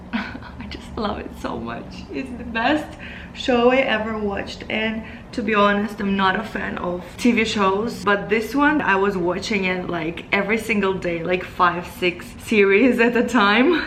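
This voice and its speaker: A woman of medium pitch speaks fairly slowly in a Russian accent, with ordinary pitch variation. Audible room echo and noticeable background noise fill the recording. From Moldova. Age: 20s. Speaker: beauty vlogger. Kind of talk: casual Q&A vlog.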